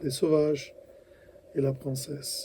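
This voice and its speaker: Here a man speaks with an Italian accent. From Italy. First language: Italian (speaking French). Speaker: voice actor. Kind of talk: interview. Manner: halting.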